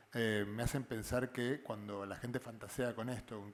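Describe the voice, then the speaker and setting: A man talks with an Argentine accent. His intonation stays fairly even. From Argentina. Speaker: physicist. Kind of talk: panel discussion. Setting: live show. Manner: halting, many fillers and repetitions.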